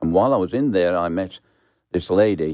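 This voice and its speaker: Over a quiet background, a man with a Birmingham accent speaks at a moderate pace in a very deep, low pitch with a dark, mellow tone. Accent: Birmingham English (Brummie). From England, Birmingham. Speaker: pastor. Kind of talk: testimony.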